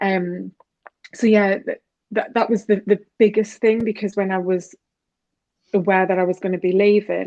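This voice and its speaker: Her medium-pitched voice has a dark, mellow tone and monotone, flat intonation. The woman leaves long, frequent pauses. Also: moderate pace. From UK. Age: 40s. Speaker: health and wellness coach. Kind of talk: interview.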